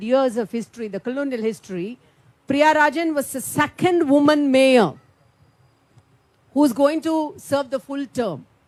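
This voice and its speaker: A high-pitched woman with a Tamil Indian accent, at a fairly slow pace. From India, Tamil Nadu. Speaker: politician. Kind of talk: panel speech. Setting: conference room with audience.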